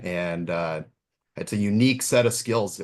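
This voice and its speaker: A moderate pace and ordinary pitch variation, in a Minnesotan accent. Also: man. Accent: Minnesota. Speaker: pool automation specialist. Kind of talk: webinar presentation. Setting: online webinar.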